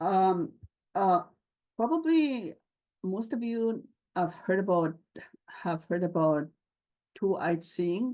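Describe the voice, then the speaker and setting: A woman with a dark, mellow tone at medium pitch speaks at a very slow pace with long, frequent pauses and lively intonation. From Lake St. Martin First Nation, Manitoba, Canada. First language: Anishinaabemowin. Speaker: government scientist. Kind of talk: conference talk. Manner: halting, many fillers.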